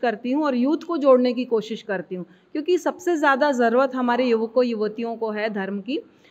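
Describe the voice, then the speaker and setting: At a high pitch and a fairly slow pace, a woman speaks with ordinary pitch variation. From India, Chhattisgarh (Durg); Chhattisgarh, India. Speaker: Jain lay preacher. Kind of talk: interview. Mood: calm, explanatory. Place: hall. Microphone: handheld.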